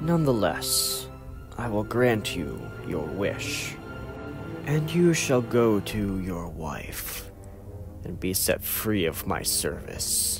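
Clear music plays in the background as a man with a fairly low pitch speaks at a very slow pace. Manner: cold, mocking, menacing.

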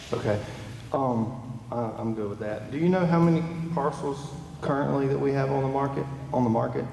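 Over noticeable background noise and audible room echo, a medium-pitched man with an American accent talks at a fairly quick pace, with ordinary pitch variation and long, frequent pauses. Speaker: county commissioner. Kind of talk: public meeting discussion. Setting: public meeting hall with PA speakers. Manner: soft-spoken. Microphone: far from the mic.

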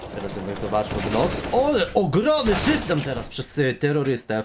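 A man speaks in an animated tone against noticeable background noise. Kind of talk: live esports commentary on a CS:GO match. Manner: fast, animated play-by-play, rapid-fire and excitable with casual banter; sometimes halting, self-correcting mid-sentence.

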